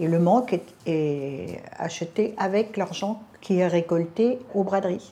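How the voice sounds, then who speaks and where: Speaking very slowly, a woman with a medium pitch, ordinary pitch variation and a dark, mellow tone keeps her loudness very even. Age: 80s+. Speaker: charity volunteer. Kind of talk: interview testimony.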